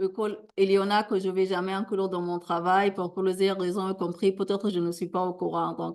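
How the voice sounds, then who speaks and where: A woman speaks at a fairly quick pace in a medium pitch, her intonation monotone and flat. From Sudan. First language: a Sudanese language (speaking French). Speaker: academic plenary speaker. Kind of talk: conference Q&A answer. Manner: halting.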